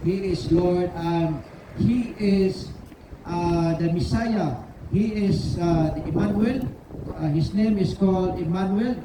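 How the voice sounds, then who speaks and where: Very slow speech over noticeable background noise. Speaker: street preacher. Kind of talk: open-air street preaching. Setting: outdoors in a city centre.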